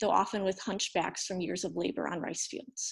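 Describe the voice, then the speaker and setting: A woman with an American accent speaks at a fairly quick pace in a medium pitch, her voice showing vocal fry against a quiet background. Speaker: former English teacher in Japan, storyteller. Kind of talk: reading aloud. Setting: storytelling event.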